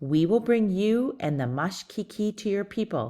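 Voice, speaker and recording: Putting on a character voice, a man speaks at a high pitch and moderate pace with lively intonation. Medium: read story. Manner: gentle.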